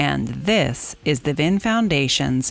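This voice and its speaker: Over music in the background, a woman with a very deep, low pitch speaks at a fairly slow pace. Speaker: podcast host, foundation executive director. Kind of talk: podcast host talk.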